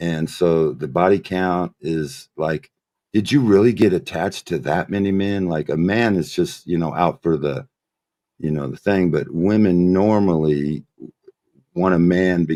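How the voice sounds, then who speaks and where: Very deep and low in pitch, a man speaks with a dark, mellow tone. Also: ordinary pitch variation, fairly slow pace. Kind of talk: casual chat. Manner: slow, halting.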